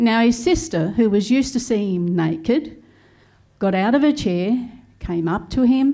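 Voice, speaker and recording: A woman with an Australian accent speaks at a fairly slow pace in a fairly high pitch, her dark, mellow tone carrying lively intonation through audible room echo. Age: 70s. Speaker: comedian. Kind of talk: stand-up. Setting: stage with audience.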